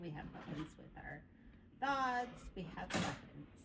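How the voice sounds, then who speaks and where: With lively intonation, a woman speaks at a fairly slow pace. Room echo is audible. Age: 60s. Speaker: group participant. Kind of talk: casual chat.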